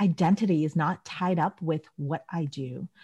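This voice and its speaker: On a very clean recording with a silent background, a woman talks at a fairly slow pace in a dark, mellow tone that is somewhat breathy. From Southeast Asia. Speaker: podcast host, surgeon and burnout coach. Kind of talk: interview conversation.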